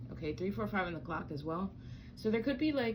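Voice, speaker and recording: A woman's voice shows vocal fry, with audible echo from the room. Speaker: tarot reader. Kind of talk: tarot reading. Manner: casual, halting with fillers.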